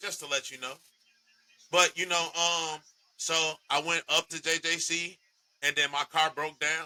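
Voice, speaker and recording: A loud man with a fairly high pitch and a bright, sharp tone, flat and monotone, at a fairly slow pace with long, frequent pauses, in a dry, close sound with no echo. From Chicago area, Illinois. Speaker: podcast host. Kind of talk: casual chat.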